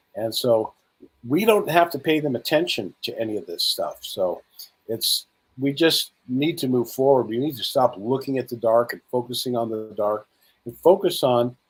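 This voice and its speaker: Lively in intonation, a man with an unremarkable speaking voice talks at a medium pitch. He keeps a moderate pace. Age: 60s. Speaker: spiritual speaker and conference host. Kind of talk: interview.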